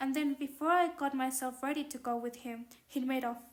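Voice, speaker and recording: The speaker has a non-native accent and fairly even intonation. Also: woman. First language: not English. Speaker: audiobook narrator. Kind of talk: reading aloud. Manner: halting.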